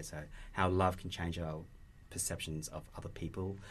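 Somewhat breathy and very deep, a man's low voice keeps a moderate pace. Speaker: producer. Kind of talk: casual chat.

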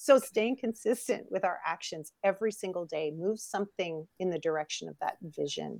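With a Canadian accent and vocal fry, a woman of medium pitch speaks at a fairly quick pace with lively intonation and big swings in loudness, in a dry, close sound with no echo. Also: hardly any pauses. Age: 50s. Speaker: model and coach. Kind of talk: interview.

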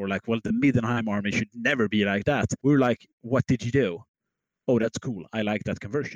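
Heard in a dry, close sound with no echo, a man with a plain, everyday voice and medium pitch talks at a fairly quick pace with fairly even intonation. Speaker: podcast co-host. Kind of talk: casual hobby podcast chat.

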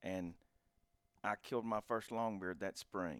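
Here is a man with an American accent and a very deep, low pitch. His pace is moderate, and the sound is dry and close with no echo. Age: 40s. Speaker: hunting podcast host. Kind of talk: casual chat.

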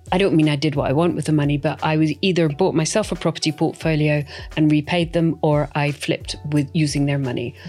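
With music in the background, a woman with a Scottish accent speaks at a very fast pace in a very deep, low pitch with ordinary pitch variation. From Scotland. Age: 50s. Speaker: property investor. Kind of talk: interview.

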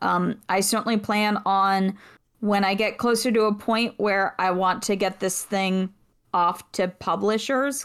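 A woman talks at a fairly slow pace in a plain, everyday voice, on a very clean recording with a silent background. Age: 30s. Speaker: podcast voice actor and writer. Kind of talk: casual chat.

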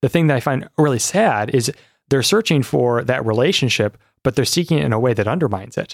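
Very fast speech in an Upper Midwest accent, lively in intonation, with a dry, close sound and no echo. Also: man, medium pitch for a man. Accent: Upper Midwest American. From Michigan, South Lyon. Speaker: doctoral student in philosophy. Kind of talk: interview conversation.

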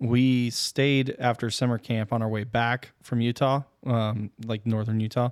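This man speaks at a medium pitch and a fairly slow pace with monotone, flat intonation. The sound is dry and close, with no echo. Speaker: podcast host. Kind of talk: casual chat.

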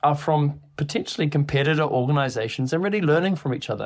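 Recorded very cleanly with a silent background, the voice carries a New Zealand accent. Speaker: podcast host and software company CEO. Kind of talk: scripted podcast introduction.

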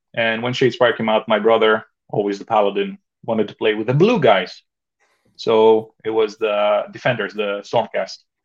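A man speaks at a medium pitch with a Greek accent. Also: moderate pace. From Greece. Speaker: miniature painter and wargamer. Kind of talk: casual chat. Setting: video call. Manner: excitable.

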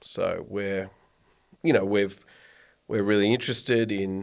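In a very clean recording with a silent background, a man speaks with an Australian accent. His voice is fairly low in pitch and his pace is fairly slow. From Australia, rural Victoria. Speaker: environmental business founder. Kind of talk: casual interview. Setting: studio.

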